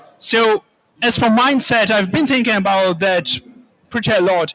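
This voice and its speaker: A man with a bright, sharp tone talks at a moderate pace with ordinary pitch variation. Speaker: land restoration expert. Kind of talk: panel discussion. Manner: hesitant, with filler sounds.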